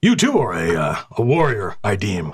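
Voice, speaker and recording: A man adopts a put-on character voice, his pitch fairly low and his pace moderate. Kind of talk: fantasy tavern role-play. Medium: actual play. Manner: archaic, formal speech.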